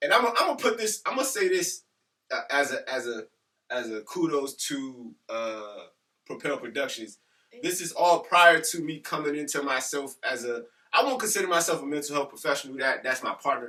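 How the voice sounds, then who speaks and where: A loud male voice at a fairly high pitch, with very wide pitch swings and a moderate pace. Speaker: teacher and podcast co-host. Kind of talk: casual chat.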